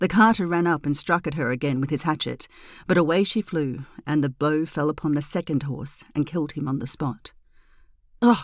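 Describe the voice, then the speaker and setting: In a very clean recording with a silent background, a woman with an Australian accent speaks at a moderate pace in a very deep, low pitch. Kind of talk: fairy tale reading; bedtime story.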